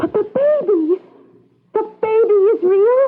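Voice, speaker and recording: In a put-on, squeaky character voice, a woman hits an extremely high pitch. Her pace is fairly slow. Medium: old radio play.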